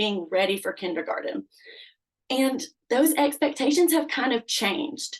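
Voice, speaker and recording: A woman speaks with ordinary pitch variation. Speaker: kindergarten teacher. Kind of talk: presentation. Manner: loud; animated.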